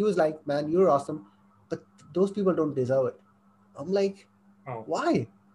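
A man with a high, dark and mellow voice talks at a fairly quick pace, broken by long, frequent pauses. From Saudi Arabia, moved to Pakistan as a teen. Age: 20s. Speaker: affiliate marketer and business coach. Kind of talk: podcast interview. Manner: sometimes halting, searches for words.

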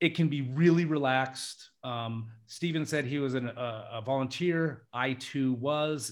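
A man in an American accent speaks at a medium pitch in a normal speaking voice with ordinary pitch variation. The recording is very clean, with a silent background. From US, Alaska. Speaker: international English teacher. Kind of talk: casual chat.

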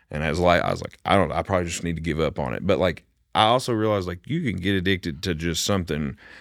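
A man speaks in an Appalachian accent at a very fast pace and a very deep, low pitch with ordinary pitch variation. The recording is very clean, with a silent background. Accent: Appalachian Kentucky. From Kentucky, Bath County. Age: 20s. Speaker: singer-songwriter. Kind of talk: casual chat.

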